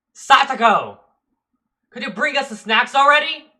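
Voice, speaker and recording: A man puts on a guttural character voice at an extremely high pitch. He speaks at a moderate pace. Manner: demanding, crude.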